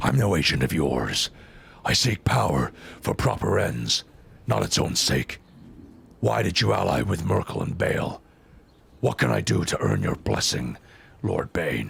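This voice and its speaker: Using a put-on character voice, a raspy man speaks at a moderate pace with a very deep, low pitch, very wide pitch swings, and long, frequent pauses. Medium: game stream. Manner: growling, grim.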